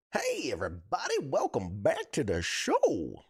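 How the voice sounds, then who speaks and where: The speaker puts on a raspy character voice. The delivery keeps a moderate pace. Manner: put-on, exaggerated.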